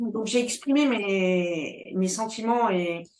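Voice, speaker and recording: A woman's fairly high voice at a very slow pace. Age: 60s. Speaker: entrepreneur. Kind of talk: interview. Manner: halting, many hesitations.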